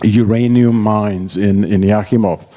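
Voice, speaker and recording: In a Czech accent, a man with a fairly low pitch speaks at a very slow pace against noticeable background noise. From Czechoslovakia. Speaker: emigre telling escape story. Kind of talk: public talk. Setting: stage with audience. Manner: halting.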